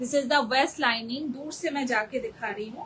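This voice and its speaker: A woman with a Bengali accent, high-pitched and animated, with lively intonation at a moderate pace. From Bengal, India. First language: Bengali (speaking Hindi). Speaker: online saree seller. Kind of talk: live sales pitch. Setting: live video stream.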